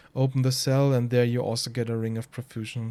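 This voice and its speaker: A man with a German accent speaks at a moderate pace, his medium-pitched voice dark and mellow in tone. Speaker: speedrunner. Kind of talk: tutorial. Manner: halting.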